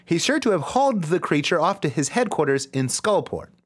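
Animated in tone, a man's voice moves through very wide pitch swings on a very clean recording with a silent background. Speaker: comedy podcast co-host. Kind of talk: casual comedic banter, drinking show. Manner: animated, joking, excitable.

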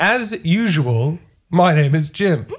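A somewhat breathy man with an Australian accent and very wide pitch swings. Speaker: podcast host. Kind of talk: casual chat.

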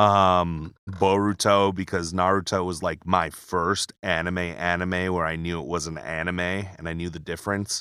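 Recorded very cleanly against a silent background, the voice is bright and sharp in tone and flat and monotone in intonation. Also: man, very deep, low pitch for a man, moderate pace. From Hawaii, Pearl City. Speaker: voice actor. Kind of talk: casual interview chat. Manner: halting, repeats words.

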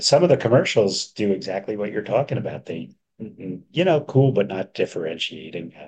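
Very wide pitch swings mark this man's fairly low voice. He talks at a fairly quick pace. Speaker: podcast co-host, bookkeeper for pest industry. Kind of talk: casual business podcast chat. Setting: hotel room.

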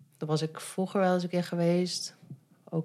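Her intonation is monotone and flat as the woman speaks at a moderate pace and fairly low pitch. The recording is very clean, with a silent background. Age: 30s. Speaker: adoptee and meetup organizer. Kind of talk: casual interview. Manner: hesitant, many fillers.

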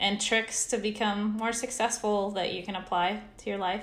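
The woman's voice is at a medium pitch. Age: 40s. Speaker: business coach and author. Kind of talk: casual interview chat.

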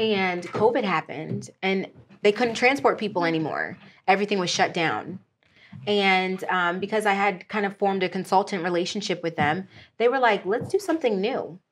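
A woman with an ordinary speaking voice and an American accent, medium pitch, ordinary pitch variation and a moderate pace over a quiet background. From Pennsylvania, Erie area and outside Philadelphia. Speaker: aerospace freight broker and logistics business partner. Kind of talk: interview, casual chat.

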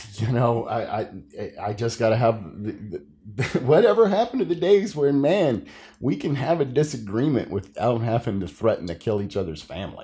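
Somewhat breathy, a man speaks with a dark, mellow tone. His moderate pace comes with very wide pitch swings. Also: medium pitch for a man. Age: 40s. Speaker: podcast host, comic creator. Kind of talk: casual chat.

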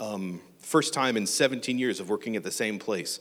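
A plain, everyday voice with an American accent comes through on a very clean recording with a silent background. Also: man. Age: 40s. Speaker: church member and teacher. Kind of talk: church talk. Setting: church.

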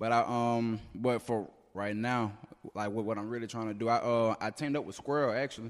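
Speaking fairly quickly in a Mississippi accent, a man keeps a medium pitch in a monotone, flat intonation. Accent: Southern US (Mississippi). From Mississippi, North Jackson. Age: 20s. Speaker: rapper. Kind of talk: casual interview. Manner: halting, many fillers.

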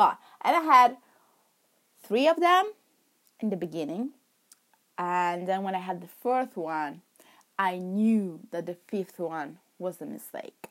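Speaking with an Italian accent, a woman uses a medium pitch and very wide pitch swings at a fairly slow pace. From Milan, Italy. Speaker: podcast host. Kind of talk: casual monologue. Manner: rambling, laughing often.

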